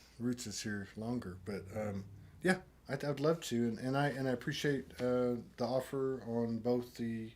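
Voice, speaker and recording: A man speaks at a fairly slow pace in a normal speaking voice, at a medium pitch. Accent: American. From Texas. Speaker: online broadcast host. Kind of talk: interview.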